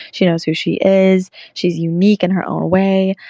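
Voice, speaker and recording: In a Southern US accent, a woman with a fairly low pitch talks at a moderate pace in a flat, monotone way, her dark, mellow tone dry and close with no echo against a quiet background. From US South, Bristol, Tennessee. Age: 20s. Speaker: country singer-songwriter. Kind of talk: recorded answers to interview questions.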